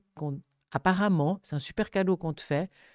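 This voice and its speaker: In a dry recording with no echo and a quiet background, a woman speaks at a fairly low pitch in a dark, mellow tone. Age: 70s. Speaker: thanatologist; guest. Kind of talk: interview conversation. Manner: animated. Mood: earnest, animated. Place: studio. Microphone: studio mic.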